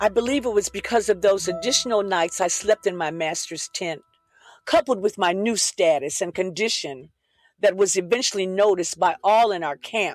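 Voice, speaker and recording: With a dry, close sound and no echo, a woman speaks in an unremarkable speaking voice at a medium pitch, a moderate pace and ordinary pitch variation. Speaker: pastor and author, podcast host. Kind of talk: dramatic first-person reading of a biblical story.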